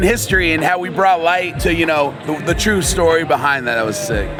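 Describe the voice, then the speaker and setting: With music in the background and audible room echo, a man speaks at a moderate pace in an animated tone with lively intonation. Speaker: sneaker store vlogger. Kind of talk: casual vlog chat.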